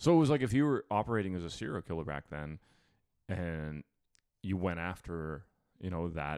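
Delivered at a moderate pace with lively intonation, the speech comes through on a very clean recording against a silent background. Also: man. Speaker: podcast co-host. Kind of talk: casual chat.

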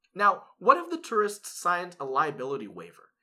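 The recording is very clean, with a silent background. A man speaks at a moderate pace in a bright, sharp tone. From Hawaii (Oahu). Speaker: legal podcast co-host. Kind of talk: scripted casual chat.

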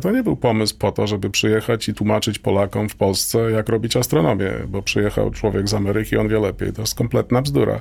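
Noticeable background noise runs throughout. A man talks through it at a very fast pace. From Poland, Toruń. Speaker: astronomy professor. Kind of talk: interview. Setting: radio studio. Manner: halting.

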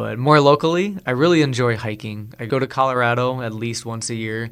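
In an American accent, the voice moves at a moderate pace. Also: man. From South Dakota, US. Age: 30s. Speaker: farmer. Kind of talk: interview. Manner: talkative.

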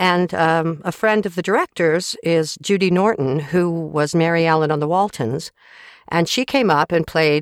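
With a plain, everyday voice, a woman speaks at a fairly low pitch and a moderate pace, with ordinary pitch variation and a dry, close sound with no echo. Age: 40s. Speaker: voice actor and audiobook narrator. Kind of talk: interview. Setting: home recording booth, remote interview.

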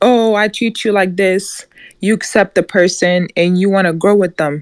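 A plain, everyday voice moves at a moderate pace with fairly even intonation. The background is quiet. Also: woman. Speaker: audience participant. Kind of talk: casual group discussion. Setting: live Clubhouse audio room.

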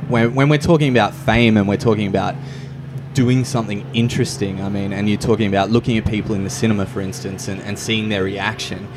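A man with an Australian accent speaks at a very fast pace and a fairly low pitch with ordinary pitch variation. Noticeable background noise can be heard. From Hervey Bay, Queensland, Australia. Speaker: podcast host. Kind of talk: casual interview. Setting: cafe.

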